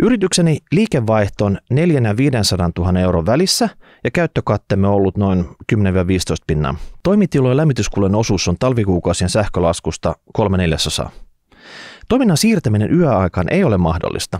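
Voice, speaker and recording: Against a quiet background, a man with a fairly low pitch speaks at a moderate pace with very wide pitch swings, the sound dry with no echo. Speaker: podcast host. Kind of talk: reading a listener letter, then commentary. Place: studio. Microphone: studio mic.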